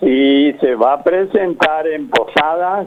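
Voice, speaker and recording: Speaking very slowly, a man uses a fairly high pitch that varies in an ordinary way. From Argentina, Misiones (Montecarlo). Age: 90s. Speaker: book author, local historian. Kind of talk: phone interview. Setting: phone call. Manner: halting.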